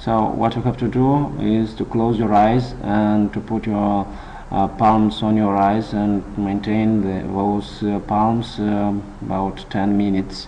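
Over noticeable background noise, a man with a non-native accent speaks very slowly in a fairly low, monotone, flat voice. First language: not English. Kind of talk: casual instructional talk to camera. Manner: hesitant, many filler sounds.

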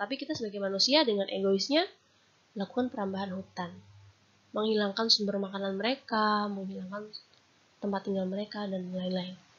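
A woman with an unremarkable speaking voice and a medium pitch talks at a fairly quick pace with ordinary pitch variation. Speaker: university lecturer. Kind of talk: lecture. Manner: formal.

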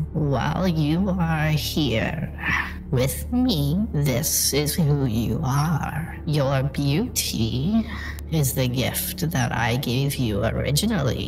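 A man puts on a character voice at a medium pitch, speaking at a very slow pace. Loud background noise runs behind him. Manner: calm, knowing, faintly menacing.

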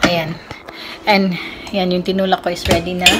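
Clear music sounds in the background. A woman talks over it. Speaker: cooking vlogger. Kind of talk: casual vlog chat. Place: kitchen. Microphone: phone near.

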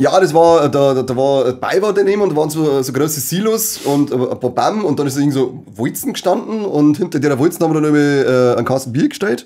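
A fairly high-pitched man at a fairly quick pace, with ordinary pitch variation and hardly any pauses. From Bavaria. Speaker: podcast co-host. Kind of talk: casual chat. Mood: relaxed, anecdotal storytelling. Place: studio.

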